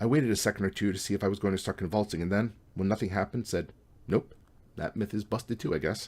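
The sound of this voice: With fairly even intonation, an unforced reading voice carries the text.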